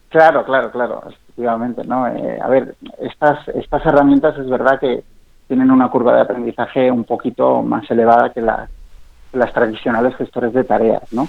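A man's monotone, flat voice at a medium pitch and moderate pace. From Spain, Zaragoza (English mother). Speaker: startup founder and CEO. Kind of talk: radio interview.

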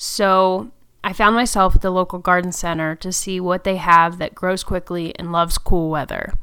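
On a very clean recording with a silent background, a woman speaks in a bright, sharp tone at medium pitch, with big swings in loudness. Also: fairly even intonation, moderate pace. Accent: American. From US Northeast, Connecticut. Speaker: podcast host and home gardener. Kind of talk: solo audio blog monologue.

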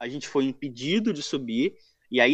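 Here is a man with a normal speaking voice, fairly high in pitch and lively in intonation. The background is quiet. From Rio de Janeiro, Brazil. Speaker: football fan page admin. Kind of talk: casual chat.

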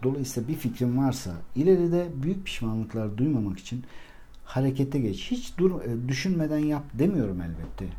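A man speaks at medium pitch and a moderate pace, somewhat breathy with a dark, mellow tone. Room echo is audible around him. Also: lively intonation. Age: 40s. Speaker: life coach and podcaster. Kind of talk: solo monologue podcast.

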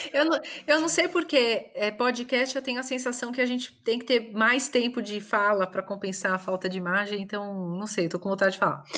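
A woman with fairly high pitch talks in an unremarkable speaking voice, her intonation lively and hardly any pauses breaking her speech. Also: fairly quick pace. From São Paulo, Brazil. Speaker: voice actress. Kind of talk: interview.

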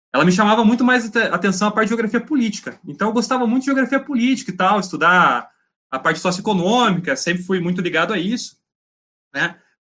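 A man speaks at a very fast pace in a raised, projected voice, pitched high. His tone is bright and sharp, with lively intonation. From Paraná, Brazil (Laranjeiras do Sul). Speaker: geology master's student. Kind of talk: casual interview chat.

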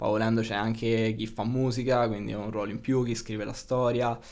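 A man talks at a fairly quick pace with a medium pitch. Room echo is audible around him. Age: 20s. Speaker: video game programming student. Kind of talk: casual interview chat.

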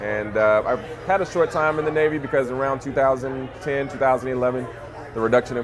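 A man speaks with an American accent. Noticeable background noise runs behind him. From Louisiana (Monroe). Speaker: cannabis entrepreneur, former engineer. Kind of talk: casual interview.

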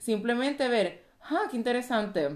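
This woman speaks with a Puerto Rican accent. Her pitch varies in an ordinary way. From Puerto Rico. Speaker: physician and life coach. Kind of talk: casual chat.

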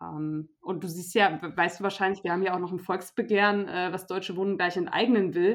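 With a normal speaking voice, a woman talks at a moderate pace, her medium pitch held in fairly even intonation. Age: 20s. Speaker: youth party politician. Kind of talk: interview.

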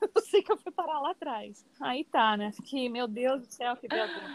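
A woman's high voice moves through very wide pitch swings in a dry, close sound with no echo. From Paraná interior, Brazil. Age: 50s. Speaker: dance teacher and cultural producer. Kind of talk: interview.

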